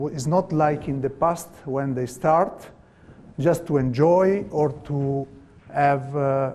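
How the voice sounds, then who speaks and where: A man with a non-native accent, fairly high pitch, and fairly even intonation at a very slow pace, with audible room echo. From Italy. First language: Italian. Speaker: volleyball coach. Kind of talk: lecture. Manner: halting.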